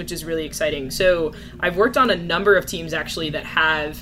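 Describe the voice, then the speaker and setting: A woman with an American accent at a very fast pace, fairly low in pitch with ordinary pitch variation, over noticeable background noise. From New Jersey. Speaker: business analyst. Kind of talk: casual interview.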